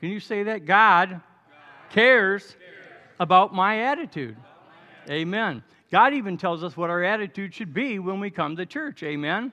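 Against a quiet background, a man with a high pitch speaks in a raised, projected voice, bright and sharp in tone, with lively intonation, a moderate pace and long, frequent pauses. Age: 70s. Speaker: pastor. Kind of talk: sermon. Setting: church. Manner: animated.

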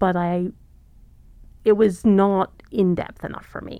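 Fairly even, fairly low-pitched speech from a woman with a southern British accent. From southern England. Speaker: economics professor. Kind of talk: interview conversation.

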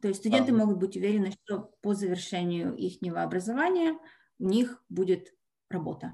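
A woman talks at a moderate pace with a medium pitch. Her tone is dark and mellow, with ordinary pitch variation. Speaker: college representative. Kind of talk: webinar presentation. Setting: video call.

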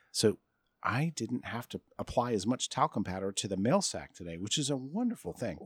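A man with an American accent has a normal speaking voice at a medium pitch, using lively intonation and a fairly quick pace. The sound is dry and close with no echo, in a very clean recording with a silent background. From US Midwest (Michigan). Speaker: tech podcast co-host. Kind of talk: casual chat. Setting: outdoors by a pool.

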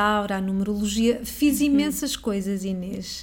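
With a dark, mellow tone, a woman speaks somewhat breathily at a fairly slow pace with ordinary pitch variation. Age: 40s. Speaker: astrologer. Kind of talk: interview.

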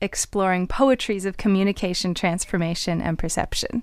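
A woman's ordinary speaking voice, medium in pitch, with a Canadian accent at a fairly quick pace, in a very clean recording with a silent background. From Canada. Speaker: vocalist and podcast co-host. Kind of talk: scripted narration; casual interview.

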